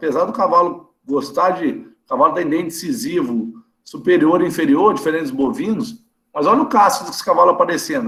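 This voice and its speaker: A man is speaking with very wide pitch swings. There is audible room echo. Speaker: veterinarian lecturer. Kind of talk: online lecture. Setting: video call. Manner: fast; casual, conversational.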